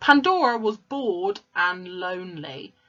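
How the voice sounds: The voice reads in a natural manner.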